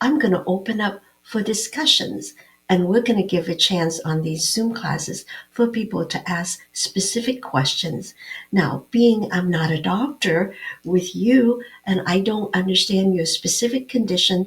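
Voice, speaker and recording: A woman's somewhat breathy voice, fairly slow, with lively intonation. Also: medium pitch for a woman. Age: 70s. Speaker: naturopathic doctor and health show host. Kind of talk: health talk show monologue. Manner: conversational with filler words.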